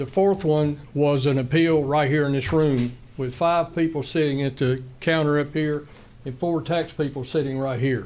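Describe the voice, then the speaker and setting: A man speaks with a North Carolina accent at a moderate pace. His fairly high voice keeps fairly even intonation. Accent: Southern US (North Carolina). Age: 70s. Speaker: retired school employee, public commenter. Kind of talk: public comment at a county meeting. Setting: county commissioners meeting room. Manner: halting.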